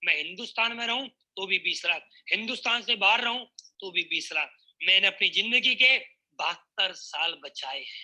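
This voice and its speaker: A raised, projected male voice at an extremely high pitch, bright and sharp in tone, with ordinary pitch variation. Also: big swings in loudness. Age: 20s. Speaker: network marketing speaker. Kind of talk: motivational speech. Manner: animated.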